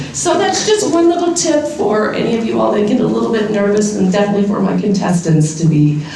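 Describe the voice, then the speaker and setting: A woman talks very fast at a medium pitch, with hardly any pauses, very wide pitch swings and very even loudness. Audible room echo and noticeable background noise surround her. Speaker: university speaking center director. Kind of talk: opening remarks and guided breathing exercise.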